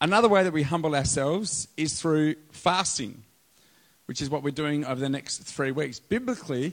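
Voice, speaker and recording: Delivered at a moderate pace, this voice has an Australian accent and ordinary pitch variation. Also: man. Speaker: pastor. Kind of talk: sermon. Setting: church with live audience.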